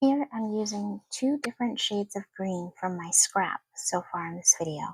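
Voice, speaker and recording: Soft-spoken, a woman talks in a dry, close sound with no echo. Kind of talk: soft-spoken ASMR wax sealing demonstration.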